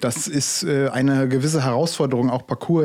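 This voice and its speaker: On a very clean recording with a silent background, a man of medium pitch talks at a fairly quick pace with a dark, mellow tone and fairly even intonation. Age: 30s. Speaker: parkour coach, podcast co-host. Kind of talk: casual chat. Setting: studio.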